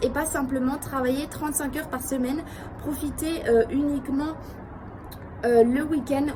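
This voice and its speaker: Over noticeable background noise, a woman speaks in a high-pitched voice. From France. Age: 20s. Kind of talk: casual talk to camera.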